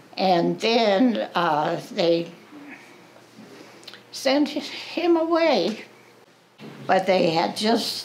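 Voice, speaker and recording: Amid noticeable background noise, a woman talks at a very even loudness, pausing long and often. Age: 80s+. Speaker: World War II veteran. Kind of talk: interview answer. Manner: hesitant.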